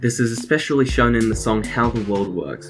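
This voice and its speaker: A man with an ordinary speaking voice talks at a fairly quick pace. His pitch sits in the medium range. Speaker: video essayist. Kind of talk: scripted narration.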